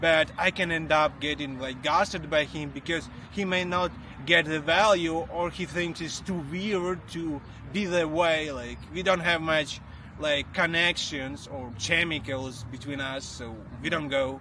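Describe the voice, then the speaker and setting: A man with a non-native accent speaks at a fairly slow pace in a bright, sharp tone with ordinary pitch variation. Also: fairly high pitch for a man. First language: not English. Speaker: iOS developer. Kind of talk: casual chat. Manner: halting, many fillers.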